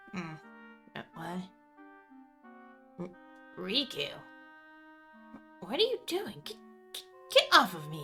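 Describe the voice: A put-on character voice at middle pitch, with long, frequent pauses and clear music in the background. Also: fairly slow pace.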